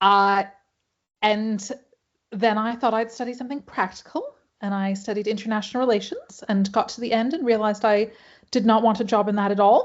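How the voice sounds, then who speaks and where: Here is a woman with an ordinary speaking voice and a fairly high pitch. She talks at a fairly quick pace with fairly even intonation. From Hawaii. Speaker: pattern maker and costume historian. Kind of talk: panel presentation. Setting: video call.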